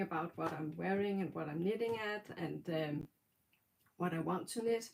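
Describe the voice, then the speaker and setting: A woman speaks with a Danish accent. Her pitch varies in an ordinary way. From Denmark. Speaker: knitting podcaster. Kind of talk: casual livestream talk. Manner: halting, many fillers.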